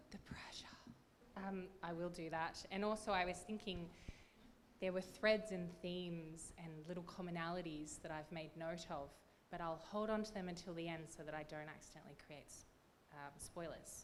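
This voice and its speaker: A woman with an Australian accent and a fairly low pitch speaks at a moderate pace with fairly even intonation, amid audible room echo. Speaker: literary prize judge. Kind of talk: award announcement panel talk. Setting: stage with audience, microphone. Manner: loud.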